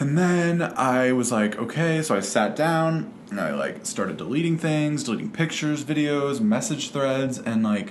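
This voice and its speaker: A fairly high-pitched man with very wide pitch swings and hardly any pauses, amid audible room echo and noticeable background noise. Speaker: vlogger. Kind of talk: casual vlog monologue. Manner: fast; rambling with many fillers.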